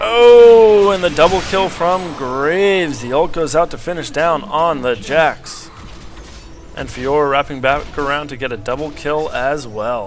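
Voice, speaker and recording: With noticeable background noise, a man speaks at a fairly slow pace, with fairly high pitch and lively intonation. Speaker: game caster. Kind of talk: gameplay commentary.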